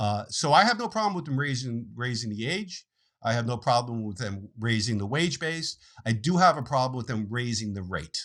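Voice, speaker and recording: In an ordinary speaking voice, a man talks at a moderate pace and medium pitch with lively intonation, on a very clean recording with a silent background. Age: 60s. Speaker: financial planner. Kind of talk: interview.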